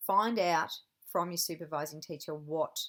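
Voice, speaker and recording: The speaker is a woman with an Australian accent. She talks at a moderate pace. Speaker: university lecturer in teacher education. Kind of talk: recorded lecture.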